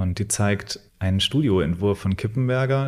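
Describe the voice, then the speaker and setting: Recorded very cleanly against a silent background, a man with an unremarkable speaking voice talks at a moderate pace and a fairly low pitch. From Thuringia, Germany (Weimar). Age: 30s. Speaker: gallery owner. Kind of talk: interview.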